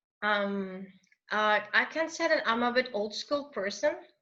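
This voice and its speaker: A woman's fairly high-pitched voice with a non-native accent and a bright, sharp tone. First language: not English. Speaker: English teacher. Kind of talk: interview answer.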